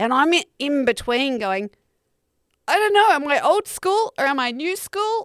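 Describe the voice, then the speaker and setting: With an Australian accent, a woman speaks at a high pitch and a fairly slow pace, her pitch swinging very widely, in a dry, close sound with no echo. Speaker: comedian podcast host. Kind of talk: casual chat. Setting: video call.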